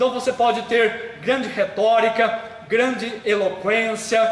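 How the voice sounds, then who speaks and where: A man speaks at a fairly slow pace and a high pitch. Noticeable background noise and audible room echo fill the recording. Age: 60s. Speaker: pastor and seminary head. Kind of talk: live stream talk, promotional sermon. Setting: Facebook live stream.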